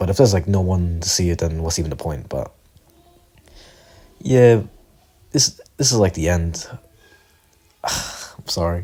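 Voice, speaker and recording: Over noticeable background noise, a man speaks at a fairly slow pace in a very deep, low pitch with lively intonation. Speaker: amateur video creator who draws. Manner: stutters, hesitant.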